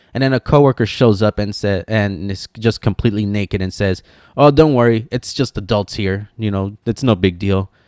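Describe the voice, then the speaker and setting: The voice moves at a moderate pace with ordinary pitch variation, recorded very cleanly against a silent background with a dry, close sound and no echo. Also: man, fairly low pitch for a man. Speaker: YouTuber and streamer. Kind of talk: casual outro chat; commentary video monologue. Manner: casual, with fillers and stumbles.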